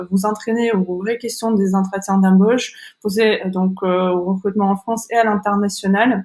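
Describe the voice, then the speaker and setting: A woman's medium-pitched voice, monotone and flat, at a moderate pace with hardly any pauses. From Kazakhstan. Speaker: online school founder and career coach. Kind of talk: webinar presentation. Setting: online webinar. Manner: halting, many hesitations.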